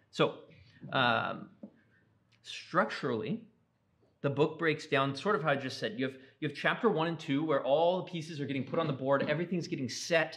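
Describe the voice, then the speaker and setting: A man's fairly high voice at a fairly quick pace, with long, frequent pauses, ordinary pitch variation and audible room echo. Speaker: Bible class teacher. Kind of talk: lecture. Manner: fast; casual with many fillers.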